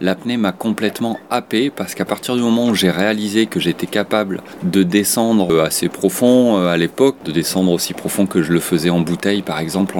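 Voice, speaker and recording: A man with a very deep, low pitch talks at a fairly quick pace with hardly any pauses and ordinary pitch variation over noticeable background noise. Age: 40s. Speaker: freediving instructor and competitive freediver. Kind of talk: interview testimony.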